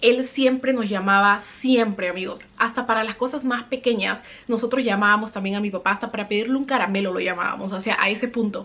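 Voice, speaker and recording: A woman with a normal speaking voice talks at a fairly quick pace, her pitch fairly high and her intonation fairly even. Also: hardly any pauses. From Peru. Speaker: vlogger. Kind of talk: personal storytelling vlog.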